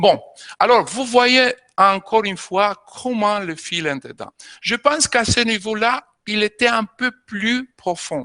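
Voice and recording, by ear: With a bright, sharp tone and high pitch, a man speaks at a fairly slow pace with lively intonation in a dry, close sound with no echo.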